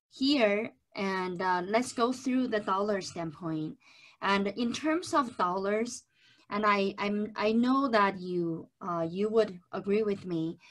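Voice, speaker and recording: Against a quiet background, a woman talks very slowly with ordinary pitch variation. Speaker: presenter. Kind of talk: webinar lecture. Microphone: webcam.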